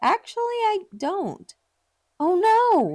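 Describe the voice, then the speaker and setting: A woman puts on a character voice with an extremely high pitch. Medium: game stream.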